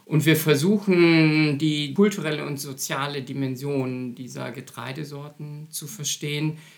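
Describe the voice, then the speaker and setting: A man with a fairly high pitch speaks at a fairly slow pace with hardly any pauses and fairly even intonation. His loudness swings widely, and noticeable background noise is present. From Germany, Münster (Westphalia). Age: 50s. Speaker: anthropology professor. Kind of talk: interview.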